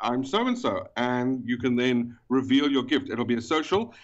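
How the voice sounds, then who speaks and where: A man speaks with a South African accent at a moderate pace. His intonation is lively. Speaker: event organizer. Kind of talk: casual chat. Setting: phone call.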